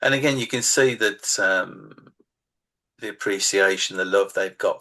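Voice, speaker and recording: A man with a Birmingham accent. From England, Birmingham. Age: 60s. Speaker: author. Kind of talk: casual interview chat.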